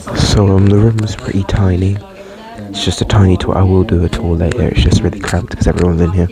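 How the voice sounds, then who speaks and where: A man's very deep, low voice holds fairly even intonation, with noticeable background noise behind it. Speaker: travel vlogger. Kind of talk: casual vlog. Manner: hesitant, many fillers. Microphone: headset mic without pop filter.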